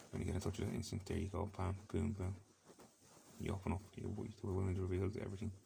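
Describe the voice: Gravelly and low-pitched, the man talks at a very fast pace in a dark, mellow tone with vocal fry and little pitch movement.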